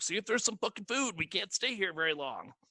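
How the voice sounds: A man puts on a character voice, high in pitch and very fast.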